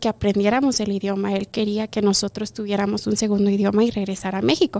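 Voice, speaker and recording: Her voice sits at a medium pitch and carries a dark, mellow tone. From Chihuahua, Mexico, then Montrose, Colorado; Chihuahua, Mexico. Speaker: kindergarten teacher. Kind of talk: interview. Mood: warm, heartfelt. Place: studio. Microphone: studio mic.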